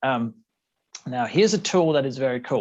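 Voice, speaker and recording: A man speaks in an unremarkable speaking voice at a fairly high pitch, with lively intonation. His pace is fairly quick against a quiet background. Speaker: developer advocate. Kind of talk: conference talk. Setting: conference presentation. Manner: frequent filler words.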